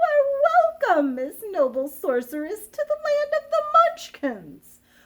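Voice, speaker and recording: A woman uses a put-on, squeaky character voice at a fairly slow pace. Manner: polite, welcoming.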